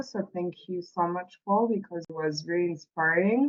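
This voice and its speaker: With a French accent, a woman speaks at a medium pitch and ordinary pitch variation. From France. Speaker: workshop participant. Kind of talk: group discussion report-back. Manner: halting, many fillers.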